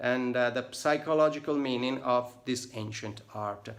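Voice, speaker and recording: A man talks at a fairly slow pace. He has an Italian accent. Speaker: tattoo artist. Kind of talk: casual vlog book review. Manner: halting, many fillers.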